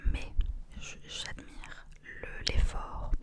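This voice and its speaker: A woman whispers over noticeable background noise. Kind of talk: ASMR close-up whispered rambling. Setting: close microphone ASMR recording. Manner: whispered, soft-spoken, intimate.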